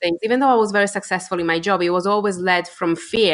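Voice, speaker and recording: Here a woman speaks at a medium pitch. Her pace is fairly quick and her intonation fairly even. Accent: Polish. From Poland. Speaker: entrepreneur. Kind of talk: interview answer.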